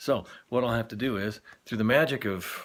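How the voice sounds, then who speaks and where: A man talks in a plain, everyday voice with ordinary pitch variation. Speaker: former radio DJ. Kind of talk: casual talk to camera. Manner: rambling, wry, self-deprecating.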